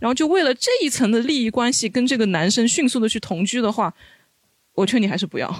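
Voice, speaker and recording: A man talks at a very fast pace. His pitch is extremely high and his intonation lively. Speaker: former overseas student. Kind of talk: casual chat.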